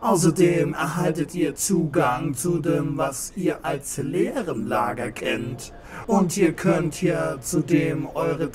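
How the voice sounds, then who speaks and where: Clear background noise runs under this recording. A man speaks at a fairly high pitch and a very slow pace. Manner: friendly, salesy.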